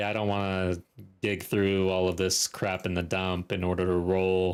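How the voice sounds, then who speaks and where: A man's very deep, low voice with a relaxed tone at a moderate pace, in a very clean recording with a silent background. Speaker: video game streamer. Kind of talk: casual gameplay commentary. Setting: live stream. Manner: relaxed, chatty.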